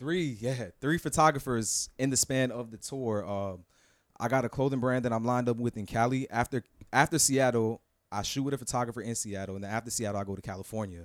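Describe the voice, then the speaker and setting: Here a man with an American accent talks at a fairly quick pace, his medium pitch showing ordinary variation. The sound is dry and close with no echo, on a very clean recording with a silent background. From South Florida, Broward County. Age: 20s. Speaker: freelance model. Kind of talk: casual chat.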